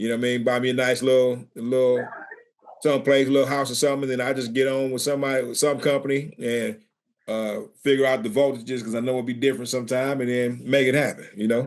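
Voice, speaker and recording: Speaking at a very fast pace, a man keeps his medium-pitched voice in a monotone, flat intonation. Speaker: trades podcast co-host, maintenance director. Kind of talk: casual podcast chat.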